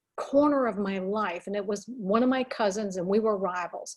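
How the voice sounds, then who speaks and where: A woman's normal speaking voice with lively intonation at a fairly slow pace. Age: 60s. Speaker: children's book author. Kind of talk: interview.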